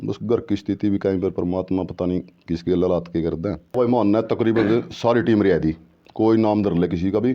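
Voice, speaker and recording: An ordinary speaking voice from a man, fairly low in pitch, with ordinary pitch variation and a moderate pace. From Haryana, Karnal district. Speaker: former kabaddi player. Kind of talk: interview.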